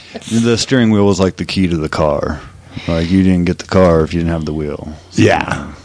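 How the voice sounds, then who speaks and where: A man with an American accent speaks at a fairly quick pace in a very deep, low voice with ordinary pitch variation, over noticeable background noise. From Oklahoma; Colorado. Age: 30s. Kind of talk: casual chat.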